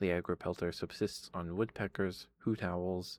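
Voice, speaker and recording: A soft-spoken man talks at a fairly slow pace in a very deep, low pitch with ordinary pitch variation. The recording is very clean, with a silent background. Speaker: ASMR streamer. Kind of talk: reading aloud. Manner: halting.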